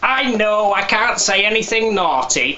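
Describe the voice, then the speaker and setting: A man speaks at a fairly slow pace in a high voice. Noticeable background noise runs behind him. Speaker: ventriloquist. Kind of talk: promotional advert read.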